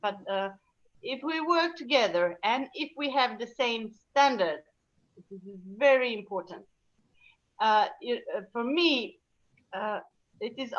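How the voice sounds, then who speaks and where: At a fairly slow pace, a woman with a Serbian accent and a high pitch speaks with very wide pitch swings, big swings in loudness, and long, frequent pauses. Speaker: laughter yoga teacher. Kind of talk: casual chat. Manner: halting.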